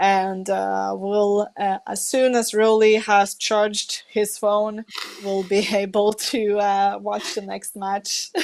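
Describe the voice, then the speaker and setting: A woman with a non-native accent speaks very slowly in a flat, monotone delivery. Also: medium pitch for a woman. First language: not English. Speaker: esports commentator. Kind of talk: live commentary.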